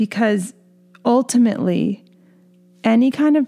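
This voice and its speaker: Music is playing behind the speaker. A woman talks at a fairly slow pace. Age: 30s. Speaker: podcast host. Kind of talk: solo podcast monologue. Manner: casual, conversational with fillers.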